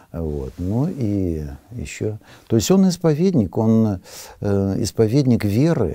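At a very slow pace, a man with a fairly low pitch and a dark, mellow tone speaks with very wide pitch swings, in a dry sound with no echo and a quiet background. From Siberia. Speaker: Orthodox priest. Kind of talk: interview. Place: studio.

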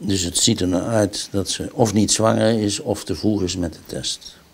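Speaking at a fairly slow pace, a man uses a very deep, low pitch. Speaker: doctor. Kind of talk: medical consultation. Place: office.

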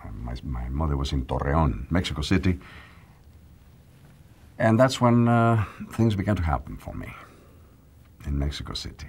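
A man speaks with a very deep, low pitch and very wide pitch swings. His voice is somewhat breathy, with long, frequent pauses. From northern Mexico. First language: Spanish. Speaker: actor. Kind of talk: interview answer. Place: studio.

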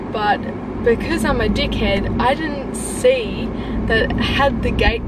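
A woman is speaking with loud background noise around her. The sound is dry with no echo. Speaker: vlogger. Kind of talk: casual vlog chat. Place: car. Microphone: phone near.

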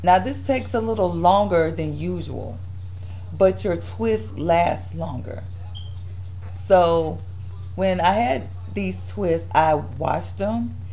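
Noticeable background noise sits under a very slow delivery broken by long, frequent pauses. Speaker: hair vlogger. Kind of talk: casual hair tutorial vlog. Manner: casual, chatty.

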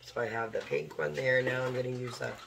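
A woman speaks at an extremely low pitch, hoarse and croaky with vocal fry. Her pace is fairly quick and her intonation fairly even.

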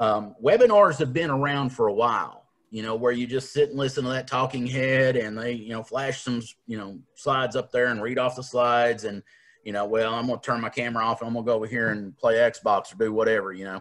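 A man with an Appalachian accent at a fairly quick pace, with fairly even intonation. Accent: Appalachian Southern US. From Appalachian Kentucky. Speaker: leadership coach and workshop trainer. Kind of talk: online professional development workshop. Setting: video call. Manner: casual, self-deprecating. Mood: friendly, joking. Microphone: video call.

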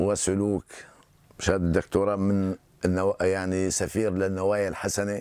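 A man with a Hama accent speaks at a fairly low pitch and a fairly slow pace. His intonation is monotone and flat, and the sound is dry with no echo. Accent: Syrian Arabic, rural Hama. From Syria, Hama countryside; Syria. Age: 60s. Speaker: genealogist. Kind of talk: interview; interview answer. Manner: halting. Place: home room.

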